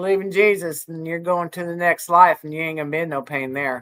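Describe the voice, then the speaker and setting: A fairly slow delivery with ordinary pitch variation, in an American accent. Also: woman. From Colorado. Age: 60s. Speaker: YouTuber. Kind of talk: casual chat. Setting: livestream. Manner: chatty, rambling.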